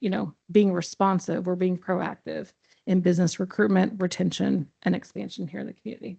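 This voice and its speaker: With a dark, mellow tone and vocal fry, a woman speaks at a medium pitch and a fairly quick pace. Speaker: economic development director. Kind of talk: presentation to city council. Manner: fast.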